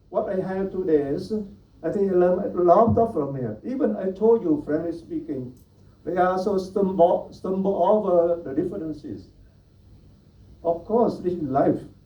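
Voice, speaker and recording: A man with a Vietnamese accent speaks at a high pitch in a dark, mellow tone with lively intonation. His pace is moderate, and audible room echo surrounds him. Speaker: Buddhist monastic speaker. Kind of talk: panel talk.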